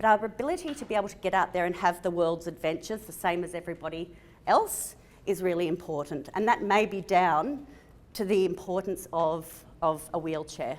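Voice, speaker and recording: In an Australian accent, a woman talks at a fairly quick pace with big swings in loudness. The recording is very clean, with a silent background. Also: medium pitch for a woman, ordinary pitch variation. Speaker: physiotherapist. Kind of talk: conference talk. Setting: stage with audience.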